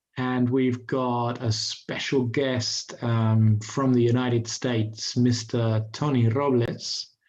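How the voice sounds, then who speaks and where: A man at medium pitch speaks in a monotone, flat intonation with very even loudness. His pace is very slow, with hardly any pauses. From England. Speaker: pool commentator. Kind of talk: live sports commentary. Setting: commentary box. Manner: hesitant, many fillers.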